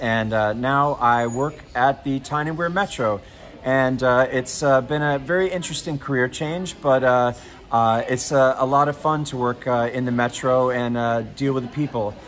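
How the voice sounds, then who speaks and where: A man with an American accent speaks at a moderate pace. His intonation is fairly even, with light background noise. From United States. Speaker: customer service advisor, former TV weatherman. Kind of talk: casual talk to camera. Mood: upbeat, friendly. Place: station. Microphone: lapel.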